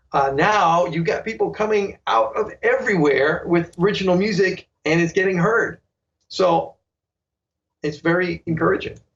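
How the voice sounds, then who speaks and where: With a New York accent, a man talks at a moderate pace in a high voice, his loudness very even and his pitch variation ordinary. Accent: New York American. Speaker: saxophonist and online sax teacher. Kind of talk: interview.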